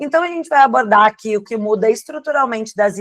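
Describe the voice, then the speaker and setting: Spoken at a fairly quick pace with a southern Brazilian accent, the voice sounds dry and close, with no echo. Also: woman. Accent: gaúcho. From southern Brazil, Rio Grande do Sul. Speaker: tax lawyer. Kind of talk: webinar presentation.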